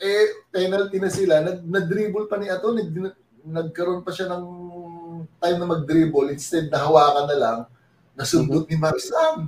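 The speaker is a man with a high voice and ordinary pitch variation. He talks at a moderate pace, leaving long, frequent pauses. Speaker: basketball coach and former pro player. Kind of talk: interview.

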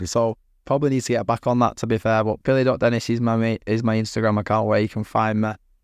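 In a Mancunian accent, a man at medium pitch talks very fast in a monotone, flat intonation and very even loudness, the sound dry and close with no echo over a quiet background. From Manchester, northwest England. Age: 20s. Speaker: professional boxer. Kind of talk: casual chat.

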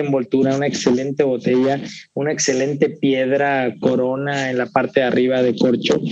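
A man speaks at a moderate pace in a plain, everyday voice. His pitch is fairly high. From Veracruz, Mexico. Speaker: whisky collector. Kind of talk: casual interview.

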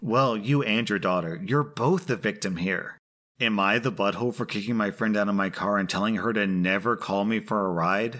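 A man with a plain, everyday voice speaks at a fairly low pitch and a moderate pace. His loudness stays very even, with ordinary pitch variation. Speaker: podcast host reading Reddit posts. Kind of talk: reading aloud Reddit stories with commentary.

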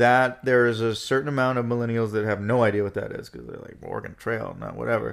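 Talking at a very fast pace with hardly any pauses, a man holds a medium pitch in a monotone, flat intonation while his loudness swings widely. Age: 30s. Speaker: actor. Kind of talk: casual chat.

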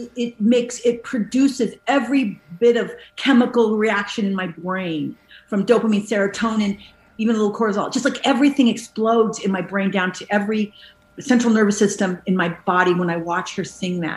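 Fairly high in pitch, a woman with a plain, everyday voice speaks at a fairly quick pace with ordinary pitch variation. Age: 50s. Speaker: actress. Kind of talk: casual chat.

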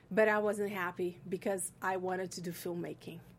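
The voice carries a Portuguese accent. It keeps fairly even intonation at a moderate pace. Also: woman. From Brazil. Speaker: film school alumni coordinator and filmmaker. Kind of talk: interview. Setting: studio.

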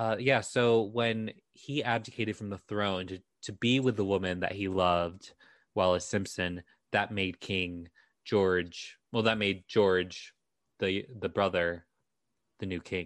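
A man with a plain, everyday voice, fairly low in pitch, at a fairly slow pace with fairly even intonation, over a quiet background. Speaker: podcast co-host, documentary worker. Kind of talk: casual chat, history storytelling.

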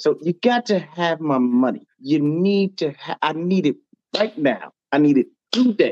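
A man talks in a high-pitched, animated tone. His pace is fairly slow. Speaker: fan caller. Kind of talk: casual sports fan talk. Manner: animated, emphatic.

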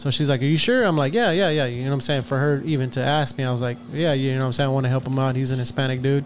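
Very rapid speech from a man with a medium-pitched voice. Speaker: podcast host. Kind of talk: casual chat. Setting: studio. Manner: animated.

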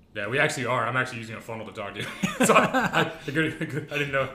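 Very fast speech from a medium-pitched man, with ordinary pitch variation, big swings in loudness and noticeable background noise. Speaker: podcast host. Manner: fast talker, gets hyped up; casual, joking.

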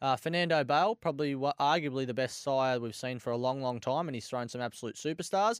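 In an Australian accent, a man talks at a very fast pace with hardly any pauses. His pitch variation is ordinary, and the sound is dry and close with no echo. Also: medium pitch for a man. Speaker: greyhound racing tipster. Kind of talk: casual racing chat, excited live race reaction. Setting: studio.

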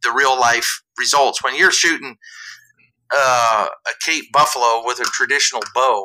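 A man's bright, sharp voice with an American accent and fairly even intonation. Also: medium pitch for a man, moderate pace. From southeast Iowa. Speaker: coffee company co-owner. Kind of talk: casual interview chat.

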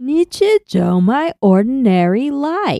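Putting on a character voice, a woman speaks high-pitched at a fairly slow pace with very wide pitch swings. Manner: smiling, sing-song.

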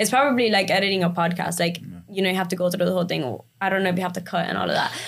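A woman speaks at a very fast pace with audible room echo and noticeable background noise. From Miami, raised from age five, born in Cuba. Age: 20s. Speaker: social media influencer. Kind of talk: casual chat.

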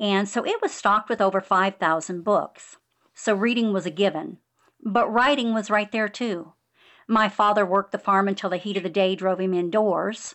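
A woman with an American accent speaks at a moderate pace in a medium pitch. Her intonation stays fairly even, and she has a plain, everyday voice. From California, San Joaquin Valley near Bakersfield. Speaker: author. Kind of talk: interview.

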